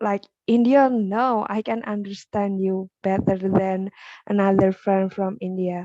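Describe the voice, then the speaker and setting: Dry and close with no echo, a woman's dark, mellow voice at medium pitch speaks with an Indonesian accent, fairly even intonation and a fairly slow pace. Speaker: English teacher. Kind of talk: casual chat. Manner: halting.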